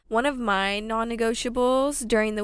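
A woman with an American accent, fairly high pitch and fairly even intonation, on a very clean recording with a silent background. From Southern California. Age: 20s. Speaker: wellness content creator. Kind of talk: casual chat.

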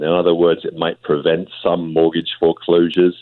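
The speaker talks at a moderate pace with a British accent. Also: man. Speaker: family doctor. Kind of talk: radio interview.

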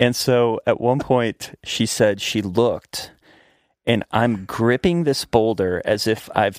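This is an ordinary speaking voice, a man of medium pitch with an American accent and fairly even intonation. The sound is dry and close with no echo, in a very clean recording with a silent background. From Virginia, Blue Ridge Mountains. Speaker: actor and writer. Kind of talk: casual chat.

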